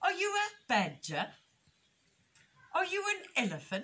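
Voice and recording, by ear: The delivery is a put-on character voice at a fairly slow pace. Its pitch swings very widely. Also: woman, extremely high pitch for a woman, fairly bright tone.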